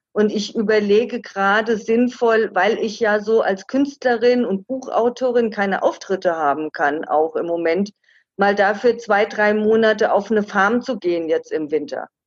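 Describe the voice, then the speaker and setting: Speaking at a moderate pace, a woman with a fairly high pitch and ordinary pitch variation has an unremarkable speaking voice. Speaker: travel author. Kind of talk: interview.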